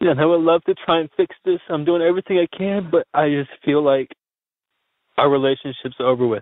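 At a fairly quick pace, an ordinary speaking voice carries ordinary pitch variation. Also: man, fairly high pitch for a man. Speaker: caller. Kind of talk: phone message to advice show. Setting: phone call.

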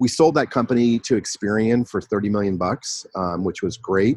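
A man with an American accent has an unremarkable speaking voice, fairly low in pitch, at a moderate pace. The sound is dry and close with no echo, and the background is quiet. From US West Coast, San Francisco Bay Area. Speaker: e-commerce entrepreneur. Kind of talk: interview, casual chat. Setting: video call.

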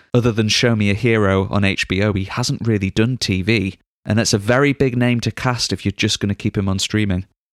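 A man with a normal speaking voice talks at a fairly quick pace, with hardly any pauses and very even loudness. His intonation is fairly even, and the very clean recording has a silent background and a dry, close sound with no echo. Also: fairly low pitch for a man. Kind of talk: casual chat.

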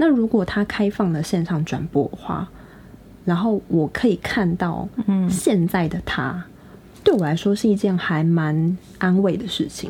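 Speaking at a fairly slow pace, a woman has an unremarkable speaking voice, a medium pitch and ordinary pitch variation. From Taiwan. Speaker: podcast co-host. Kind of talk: casual chat.

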